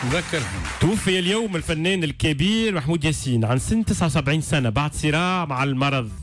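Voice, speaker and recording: Faint music plays in the background as a man speaks at a moderate pace in a dry sound with no echo. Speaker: radio host. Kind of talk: radio news commentary. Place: studio. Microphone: studio mic.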